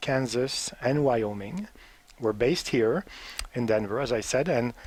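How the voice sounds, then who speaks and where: A man speaks with a French Canadian accent and ordinary pitch variation. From Quebec, Montreal. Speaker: diplomat. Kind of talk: interview. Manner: halting.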